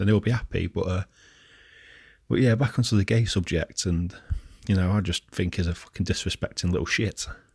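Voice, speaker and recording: A man with a fairly low, somewhat breathy voice talks at a fairly quick pace, with long, frequent pauses, in a dry, close sound with no echo. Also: ordinary pitch variation, very clean recording, silent background. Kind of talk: casual talk to camera, rant.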